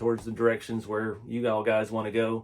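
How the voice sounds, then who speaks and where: A man with a Texas accent speaks at a medium pitch in a very clean recording with a silent background. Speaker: RC hobby YouTuber and small business owner. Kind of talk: casual vlog talk. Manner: relaxed, filler-heavy.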